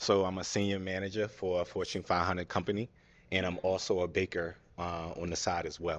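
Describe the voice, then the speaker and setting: Against a quiet background, a man with a very deep, low pitch talks at a fairly quick pace with monotone, flat intonation. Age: 30s. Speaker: dating show contestant. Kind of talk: casual interview answers. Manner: hesitant, many filler ums.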